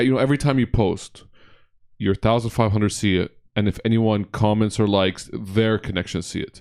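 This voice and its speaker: On a very clean recording with a silent background, a man with a normal speaking voice talks at a moderate pace, fairly low in pitch with fairly even intonation. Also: dry, close sound with no echo. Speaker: podcast host. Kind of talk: casual interview chat. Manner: casual, chatty.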